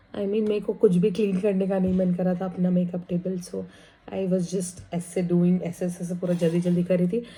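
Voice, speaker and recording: The voice is somewhat breathy with a dark, mellow tone. Its intonation is monotone and flat at a moderate pace. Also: woman, medium pitch for a woman. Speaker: vlogger. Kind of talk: casual vlog.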